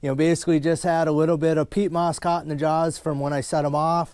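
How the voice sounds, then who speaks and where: With an Upper Midwest US accent, a man speaks at a fairly high pitch in a very clean recording with a silent background. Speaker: trapper. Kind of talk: casual vlog narration. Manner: fast; casual, filler-heavy.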